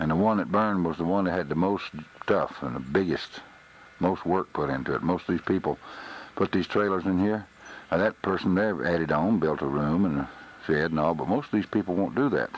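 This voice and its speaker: A man with a Texas accent talks at a fairly quick pace in a very deep, low pitch with ordinary variation. Noticeable background noise runs underneath. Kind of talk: home video narration. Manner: subdued.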